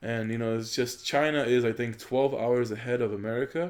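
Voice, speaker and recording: A man with an ordinary speaking voice, medium pitch and a moderate pace. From Poland, moved to the US. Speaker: gaming YouTuber. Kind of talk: gameplay commentary. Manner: casual, filler-heavy.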